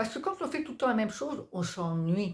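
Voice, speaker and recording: The voice belongs to a woman. Very wide swings mark her pitch. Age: 50s. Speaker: personal development vlogger. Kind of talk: motivational talk to camera. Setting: staying at a friend's home in Belgium. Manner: casual, spontaneous with hesitations.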